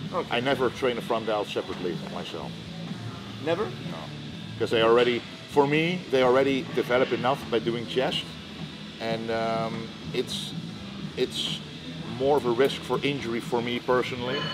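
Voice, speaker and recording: A man speaks with long, frequent pauses and ordinary pitch variation. Music plays in the background. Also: moderate pace. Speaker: guest. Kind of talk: interview answer. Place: gym.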